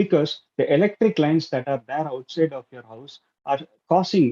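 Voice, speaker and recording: A fairly high-pitched man's voice with a dark, mellow tone and lively intonation, at a moderate pace, in a dry, close sound with no echo. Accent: Tamil. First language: Tamil. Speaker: club speaker. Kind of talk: prepared speech. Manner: halting.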